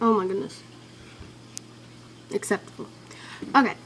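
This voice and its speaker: A woman with a Southern US accent. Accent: southern twang. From Ventura, California. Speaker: vlogger. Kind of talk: casual vlog. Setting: webcam. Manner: animated.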